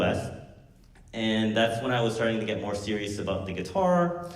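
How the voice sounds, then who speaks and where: Fairly quick, lively speech from a man with a Korean accent, over noticeable background noise and audible room echo. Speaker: university music professor and guitarist. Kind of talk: spoken introduction at a concert. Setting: stage with live audience. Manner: casual, hesitant with many fillers.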